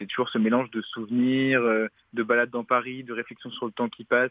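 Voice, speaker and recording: Talking at a fairly quick pace, a man uses an ordinary speaking voice at a medium pitch. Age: 20s. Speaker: bookseller and literary critic. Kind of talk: recorded segment, book review. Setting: phone call.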